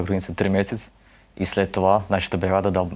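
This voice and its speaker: In a very deep, low voice, a man speaks at a fairly quick pace. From Bessarabia, Ukraine. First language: Russian (speaking Bulgarian). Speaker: war veteran. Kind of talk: interview testimony. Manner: halting.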